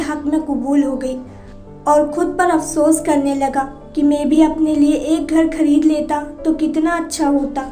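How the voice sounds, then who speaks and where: Music plays in the background. A woman speaks at a high pitch in a monotone, flat intonation. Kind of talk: religious story narration.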